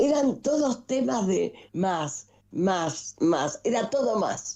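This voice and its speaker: Delivered at a very slow pace, the voice has a dark, mellow tone with vocal fry and very wide pitch swings. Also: woman. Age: 80s+. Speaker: nationalist political figure. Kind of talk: interview. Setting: video call.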